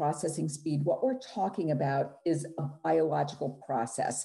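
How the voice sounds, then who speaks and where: Against a quiet background, a woman with a dark, mellow, somewhat breathy tone talks at a moderate pace with very wide pitch swings. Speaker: neuropsychologist presenter. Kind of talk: clinical, explanatory.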